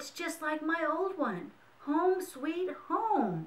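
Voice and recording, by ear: A woman's put-on character voice, extremely high in pitch, at a very slow pace.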